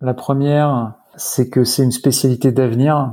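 On a very clean recording with a silent background, a man with a medium pitch and a dark, mellow tone speaks at a fairly slow pace in a monotone, flat intonation. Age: 30s. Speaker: hospital doctor. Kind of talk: interview. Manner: halting, many hesitations and repetitions.

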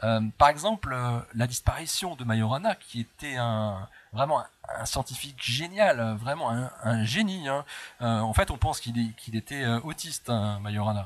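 Speaking with a medium pitch and ordinary pitch variation, a man goes along at a fairly slow pace. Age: 40s. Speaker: physicist and author. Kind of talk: interview. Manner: hesitant.

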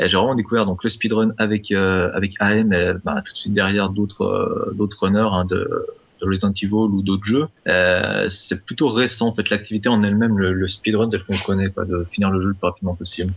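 A man with a plain, everyday voice, fairly low in pitch, at a moderate pace, with very even loudness and fairly even intonation. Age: 30s. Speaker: speedrunner and musician. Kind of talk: casual chat.

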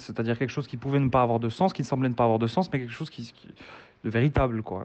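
A man talks at medium pitch with ordinary pitch variation. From Morocco. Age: 20s. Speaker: author and doctor. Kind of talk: interview. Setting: remote call. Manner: halting.

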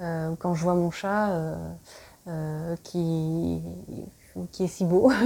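The voice has a dark, mellow tone and fairly even intonation. It moves at a very slow pace, with long, frequent pauses. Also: woman, fairly low pitch for a woman. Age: 30s. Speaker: podcast host. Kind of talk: solo personal monologue. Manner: halting, many hesitations.

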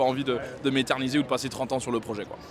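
Noticeable background noise sits behind a man's voice. He talks at a very fast pace with a medium pitch. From West Africa. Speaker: manga artist. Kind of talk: interview.

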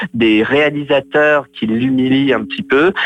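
This is a man with a normal speaking voice. His pitch is medium, with ordinary pitch variation. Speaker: film blogger co-host. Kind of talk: casual chat. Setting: phone call. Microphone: phone line.

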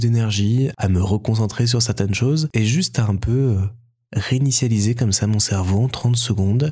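Somewhat breathy and dark, mellow in tone, a man speaks at a medium pitch and moderate pace on a very clean recording with a silent background. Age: 20s. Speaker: podcaster. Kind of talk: interview; podcast excerpt, introspective monologue.

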